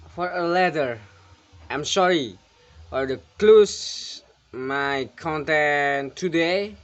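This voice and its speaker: Very slow speech from a man with an Indonesian accent, fairly high pitch, ordinary pitch variation and long, frequent pauses. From Indonesia, Java. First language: Javanese. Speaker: illustrator. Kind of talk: casual vlog talk to viewers. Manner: halting, non-fluent English.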